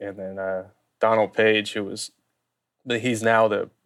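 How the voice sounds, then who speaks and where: A Louisiana accent with monotone, flat intonation at a moderate pace, on a very clean recording with a silent background. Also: man. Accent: Southern US (Louisiana). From US South, Baton Rouge, Louisiana. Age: 30s. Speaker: sports graphic designer. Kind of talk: casual interview.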